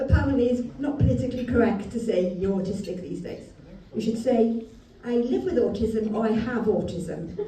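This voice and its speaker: Audible room echo and noticeable background noise around a woman with a fairly high pitch, at a moderate pace. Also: ordinary pitch variation. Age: 40s. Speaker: comedian. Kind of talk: stand-up.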